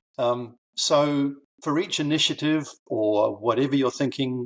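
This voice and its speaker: A man speaks with a New Zealand accent. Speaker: author and learning consultant. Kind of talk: interview podcast. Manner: halting, with many fillers.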